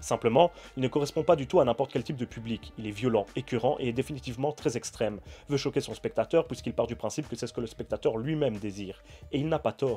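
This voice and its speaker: A man talks at a very fast pace with a medium pitch. His voice is somewhat breathy, with a dark, mellow tone. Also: ordinary pitch variation. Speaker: film critic YouTuber. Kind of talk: film review.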